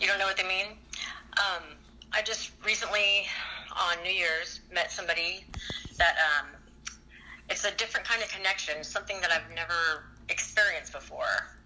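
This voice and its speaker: Against noticeable background noise, a woman with a medium-pitched voice speaks at a moderate pace with fairly even intonation and long, frequent pauses. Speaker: caller. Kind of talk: casual call-in chat.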